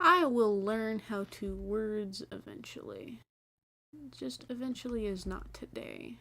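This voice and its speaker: A woman speaks at a very slow pace. Her words come out mumbled. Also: big swings in loudness. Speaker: gaming streamer. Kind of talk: live gameplay stream commentary. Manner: mumbly; casual, rambling.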